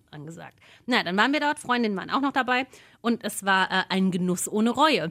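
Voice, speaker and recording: A woman's bright, sharp tone with lively intonation and fairly high pitch. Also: fairly quick pace. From Odenwald, southern Hesse. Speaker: podcast co-host. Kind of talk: casual chat.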